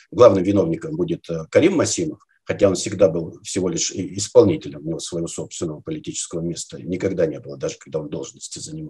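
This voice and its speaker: A man with a fairly low pitch and a dark, mellow, somewhat breathy tone talks at a very fast pace with very wide pitch swings and big swings in loudness over a quiet background. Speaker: guest. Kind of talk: interview answer. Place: home room. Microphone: webcam.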